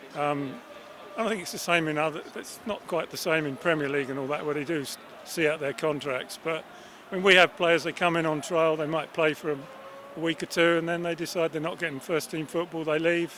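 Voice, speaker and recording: Noticeable background noise accompanies a man talking at a fairly quick pace in a fairly high pitch. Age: 60s. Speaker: football fan. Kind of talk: interview.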